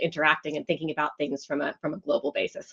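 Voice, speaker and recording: A woman with an American accent at a very fast pace, in a dry, close sound with no echo. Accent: American, retained after 25 years in UK. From US West Coast, Los Angeles. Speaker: marketing executive. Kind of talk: interview conversation.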